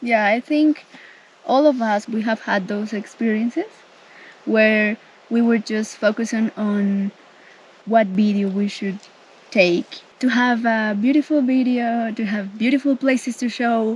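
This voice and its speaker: A woman speaks at a fairly high pitch and a fairly slow pace. Her intonation stays fairly even over noticeable background noise. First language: Spanish. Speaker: travel vlogger. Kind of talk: casual chat.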